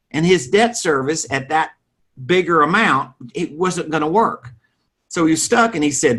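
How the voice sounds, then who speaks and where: A man's fairly high voice in a Southern US accent, at a moderate pace with lively intonation. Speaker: real estate financing expert. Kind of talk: interview.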